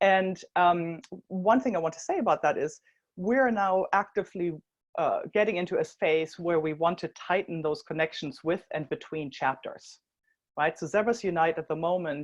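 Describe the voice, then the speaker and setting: A woman's fairly low voice in a German accent, with ordinary pitch variation and a quiet background. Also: moderate pace. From Germany. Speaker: social enterprise co-founder. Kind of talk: conference talk.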